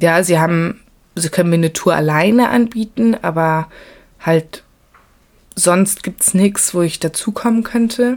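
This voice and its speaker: Her fairly low pitch shows ordinary pitch variation as the woman speaks. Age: 20s. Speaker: travel podcaster. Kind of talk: casual travel monologue. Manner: animated.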